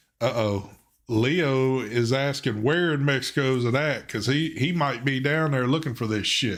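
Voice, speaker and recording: A man with a strong Southern US accent speaks at a medium pitch and moderate pace, with ordinary pitch variation and very even loudness. Audible room echo surrounds his voice. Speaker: live stream co-host. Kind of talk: casual chat on live stream.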